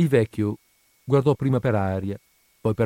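An unforced reading voice, with typical rises and falls in pitch, is heard against quiet surroundings.

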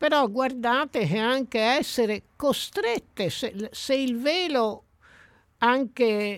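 At a very slow pace, a woman speaks in a high voice with lively intonation. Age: 70s. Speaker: sociologist. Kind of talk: radio interview. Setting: radio studio.

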